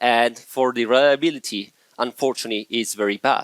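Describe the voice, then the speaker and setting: Speaking at a fairly quick pace with an Italian accent, a man with a medium-pitched voice keeps a fairly even intonation in a dry, close sound with no echo. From Italy. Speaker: software engineer, conference speaker. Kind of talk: conference talk.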